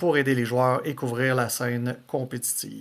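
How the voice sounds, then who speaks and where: Speaking in a Quebec accent, the man keeps a medium pitch and a moderate pace. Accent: Québécois French. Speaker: podcast host. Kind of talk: podcast intro.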